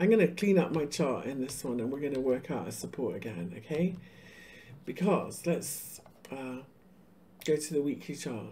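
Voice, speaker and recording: With long, frequent pauses, a woman speaks in a very deep, low voice that is dark and mellow in tone, with vocal fry. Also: lively intonation, moderate pace. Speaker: crypto market analyst. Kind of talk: live-stream chart analysis. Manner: casual, conversational.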